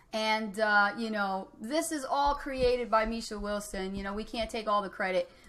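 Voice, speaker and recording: At a moderate pace, a woman with a New Jersey accent speaks in a bright, sharp tone. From Trenton, New Jersey. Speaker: online marketing coach. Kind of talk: live coaching call. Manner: animated.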